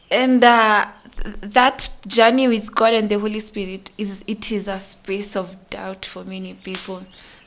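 A woman's medium-pitched, monotone, flat delivery over noticeable background noise. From Kenya, Nairobi. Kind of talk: testimony.

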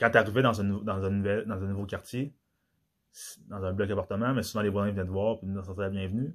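On a very clean recording with a silent background, a man speaks at a fairly quick pace in a fairly low pitch with fairly even intonation. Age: 30s. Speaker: podcast host. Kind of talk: solo monologue podcast. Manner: halting.

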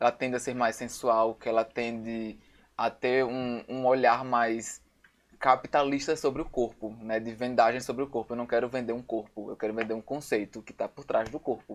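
A man's medium-pitched voice at a moderate pace, in monotone, flat intonation. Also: quiet background. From Natal, northeastern Brazil. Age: 20s. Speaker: photographer and visual artist. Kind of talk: casual chat.

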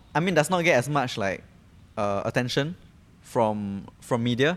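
On a very clean recording with a silent background, a man with a Singaporean accent speaks fairly slowly with lively intonation. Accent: Singaporean English (Singlish particles). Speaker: podcast co-host. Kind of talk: casual chat.

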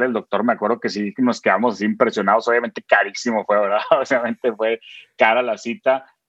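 Speaking at a very fast pace, a man keeps his pitch medium. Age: 30s. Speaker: content creator. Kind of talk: interview.

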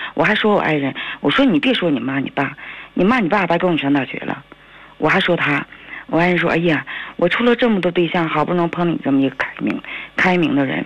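A woman talks very fast in a fairly low pitch, with very wide pitch swings. Her speech has long, frequent pauses, and there is noticeable background noise. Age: 40s. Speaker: caller. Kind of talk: phone-in call. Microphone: too quiet.

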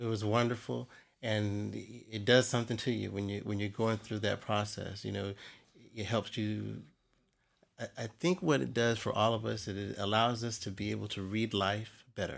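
The speaker talks at a moderate pace with an American accent and ordinary pitch variation. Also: man, fairly low pitch for a man. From US military bases, mostly Germany. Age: 50s. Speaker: Freemason. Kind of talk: casual interview. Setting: lodge library. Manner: halting.

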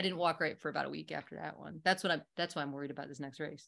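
On a very clean recording with a silent background, a woman with a very deep, low pitch and vocal fry talks at a very fast pace with fairly even intonation. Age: 50s. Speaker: ultrarunner. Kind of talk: casual chat.

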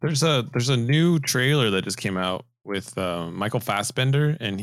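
A man's normal speaking voice, fairly low in pitch, at a moderate pace with lively intonation. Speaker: podcast host. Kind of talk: casual banter about movies.

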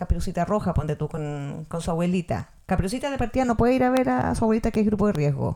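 A woman with a Chilean accent talks very fast with lively intonation. Her voice has a medium pitch and a dark, mellow tone. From Chile, Valparaíso. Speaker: podcast co-host. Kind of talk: casual chat.

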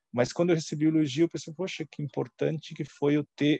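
A dark, mellow tone with fairly even intonation, in a dry, close sound with no echo. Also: man. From Santa Catarina, southern Brazil. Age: 40s. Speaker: former finance executive. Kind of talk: interview.

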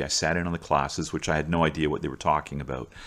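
With a Canadian accent, a man talks very fast at a very deep, low pitch, his fairly even intonation touched with vocal fry. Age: 60s. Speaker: teacher and coach. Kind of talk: storytelling monologue. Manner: casual, with frequent fillers and repetitions.

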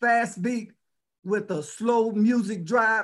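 A man's high voice with an American accent on a very clean recording with a silent background. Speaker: DJ and record shop owner. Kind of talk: storytelling interview. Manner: rhyming intro.

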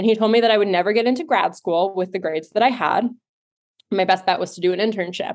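This woman talks at a very fast pace with a medium pitch and ordinary pitch variation. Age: 30s. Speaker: life coach and nonprofit founder. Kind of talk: interview.

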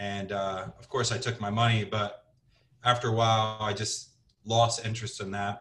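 Speaking with fairly even intonation, a man with a Midwestern American accent has a medium pitch. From US Midwest, Cincinnati, Ohio. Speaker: sales manager and business owner. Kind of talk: casual interview.

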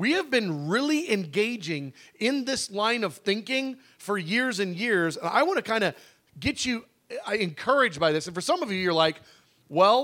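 In a raised, projected voice, a man speaks at a moderate pace, his high pitch swinging very widely. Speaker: preacher leading a prayer fast. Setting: church prayer room teaching. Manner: fervent, urgent, pleading; emphatic, repetitive, pushing listeners hard.

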